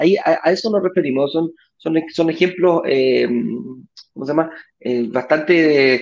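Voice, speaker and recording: Male speech, fairly high-pitched, moderately paced, with ordinary pitch variation. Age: 40s. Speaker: real estate investment show host. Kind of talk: live stream talk show. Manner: halting with many repetitions.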